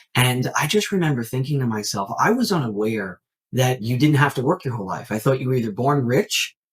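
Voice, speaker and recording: With an American accent, a man speaks at a medium pitch and a fairly quick pace, his voice somewhat breathy and his intonation lively. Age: 30s. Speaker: network marketing entrepreneur. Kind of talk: podcast interview. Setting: remote call.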